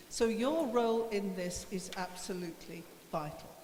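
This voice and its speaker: A woman's medium-pitched voice with ordinary pitch variation comes through noticeable background noise and audible room echo. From Yorkshire (Bradford). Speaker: politician. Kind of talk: panel speech. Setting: stage with audience.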